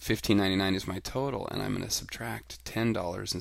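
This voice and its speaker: Vocal fry is heard on a very clean recording with a silent background. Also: man. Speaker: elementary school teacher. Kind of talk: tutorial. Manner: fast.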